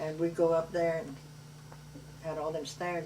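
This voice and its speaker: The speaker talks with a Cajun accent. Audible room echo colors the sound. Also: woman. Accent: Cajun Louisiana English. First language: Cajun French. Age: 70s. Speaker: grandmother telling family memories. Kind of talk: family oral history interview. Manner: loud.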